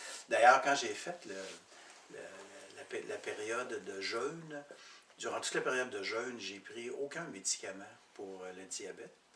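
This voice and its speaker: A man at a fairly slow pace, with long, frequent pauses and audible room echo. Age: 60s. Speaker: program participant. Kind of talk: testimony. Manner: halting.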